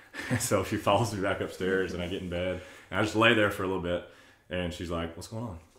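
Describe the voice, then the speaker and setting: A man's very deep, low voice at a fairly quick pace, with fairly even intonation, audible room echo and a quiet background. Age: 30s. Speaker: churchgoer sharing faith story; podcast guest. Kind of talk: casual chat. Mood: earnest, reflective storytelling. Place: home room.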